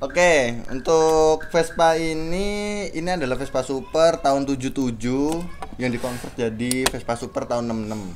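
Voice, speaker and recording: With a normal speaking voice, a man talks at a fairly high pitch and a moderate pace, his pitch varying in an ordinary way. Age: 20s. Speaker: Vespa owner. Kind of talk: casual interview.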